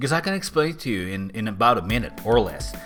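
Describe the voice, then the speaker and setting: With a Finnish accent, a man talks at a fairly quick pace in a bright, sharp tone, his pitch swinging very widely. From Finland. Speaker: philosopher and author. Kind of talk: explainer video.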